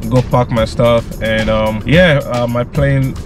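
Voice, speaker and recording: A man's voice, dry with no echo, faint music in the background. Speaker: travel vlogger. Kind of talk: casual vlog chat. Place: car.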